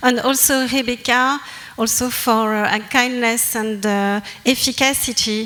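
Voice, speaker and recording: Flat, monotone intonation from a fairly high-pitched woman with a strong French accent, plus audible room echo and noticeable background noise. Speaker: anthropologist presenter. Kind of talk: academic presentation. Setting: conference with audience. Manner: halting.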